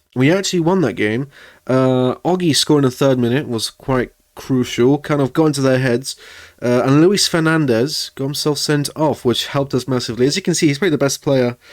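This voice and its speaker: A fairly high-pitched man with a non-native accent, fairly quick pace and ordinary pitch variation, on a very clean recording with a silent background. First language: not English. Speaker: gaming video creator. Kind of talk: gameplay commentary. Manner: casual, hesitant with fillers.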